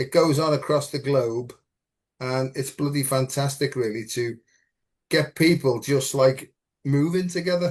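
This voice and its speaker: Against a quiet background, a man with a fairly high, somewhat breathy voice speaks fairly slowly with fairly even intonation and long, frequent pauses. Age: 70s. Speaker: spiritual teacher. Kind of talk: casual chat.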